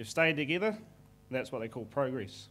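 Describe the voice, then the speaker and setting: A New Zealand accent at a fairly quick pace, with audible room echo. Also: man. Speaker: forestry manager presenting to investors. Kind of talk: conference presentation. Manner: fast.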